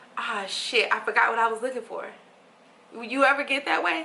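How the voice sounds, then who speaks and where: A woman speaks with a high pitch at a moderate pace over noticeable background noise. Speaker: meditation guide and life coach. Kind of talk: casual book reading and reflection to camera. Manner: gentle, soft-spoken.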